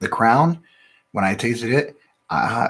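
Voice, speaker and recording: A man with an American accent speaks quietly with lively intonation. The recording is very clean, with a silent background. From Ohio, US Midwest. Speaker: whiskey reviewer, channel host. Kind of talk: casual live-stream tasting review. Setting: live stream from home studio. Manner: quiet, talks under his breath. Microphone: new sensitive mic.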